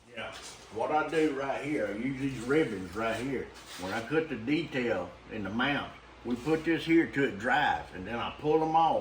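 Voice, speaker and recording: A man with a Louisiana accent speaks with lively intonation. Noticeable background noise and audible room echo surround him. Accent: Louisiana Southern US. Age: 70s. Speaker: taxidermist. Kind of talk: casual chat.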